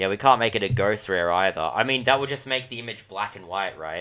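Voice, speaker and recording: A loud voice with a bright, sharp tone comes through on a very clean recording with a silent background. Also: man. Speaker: gaming streamer. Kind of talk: casual livestream commentary. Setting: livestream.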